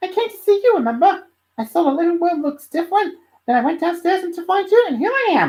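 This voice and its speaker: A man puts on a squeaky character voice at an extremely high pitch and speaks at a very fast pace. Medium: read story. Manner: bubbly, curious.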